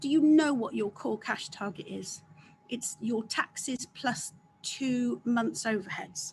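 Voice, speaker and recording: Speaking fairly slowly with a fairly high pitch, a woman with an English accent uses lively intonation and shows vocal fry. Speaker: accountant, guest speaker. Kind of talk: business webinar talk. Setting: video call.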